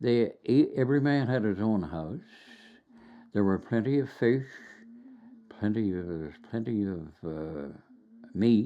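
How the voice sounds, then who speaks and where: A man with a Newfoundland accent, very slow in pace, with very wide pitch swings. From Burin Peninsula, Newfoundland. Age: 80s+. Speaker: retired teacher. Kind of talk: oral history interview answer.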